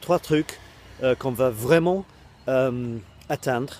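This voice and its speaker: A man speaks at a very slow pace with a strong English accent and a dark, mellow tone. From Britain. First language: English (speaking French). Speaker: online coach and web creator. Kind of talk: casual video talk to camera. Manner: halting, many hesitations.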